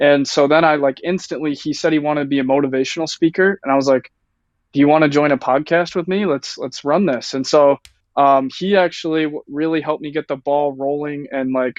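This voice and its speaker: A man with an American accent speaks in a normal speaking voice at a fairly high pitch, keeping a fairly quick pace and fairly even intonation. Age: 19. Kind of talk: casual chat.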